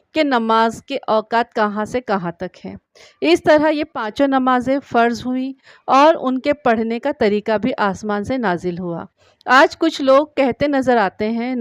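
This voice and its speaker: Here is a woman with an ordinary speaking voice. The background is quiet. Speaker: voice-over artist. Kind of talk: religious story narration.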